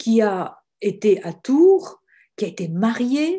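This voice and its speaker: The woman's voice sits at a fairly high pitch and comes across somewhat breathy. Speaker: religious sister and author. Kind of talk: webinar talk. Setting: online webinar.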